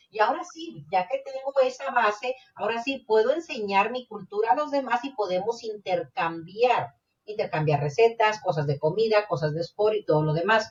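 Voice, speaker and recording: A woman speaks at a fairly high pitch. Her voice swings very widely in pitch. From Mexico. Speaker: podcast co-host. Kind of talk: casual chat.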